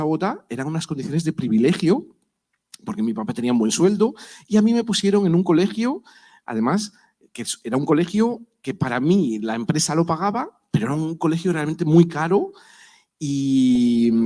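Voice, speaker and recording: With a Spanish accent, the voice has a dark, mellow tone and very wide pitch swings. Its pace is moderate. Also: man. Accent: Spanish (Spain). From Spain, Madrid. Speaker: professor. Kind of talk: panel talk. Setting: university auditorium.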